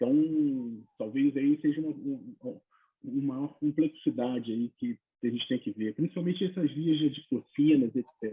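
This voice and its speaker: Lively intonation marks this man's fairly high-pitched voice at a moderate pace. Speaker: neurologist on a medical panel. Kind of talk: panel discussion. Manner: soft-spoken.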